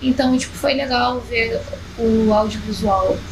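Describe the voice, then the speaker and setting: A woman's high-pitched voice at a moderate pace, ordinary pitch variation, audible room echo and noticeable background noise. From Rio de Janeiro, Zona Norte (Penha, Vila Cruzeiro). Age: 20s. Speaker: rapper. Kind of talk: casual interview chat.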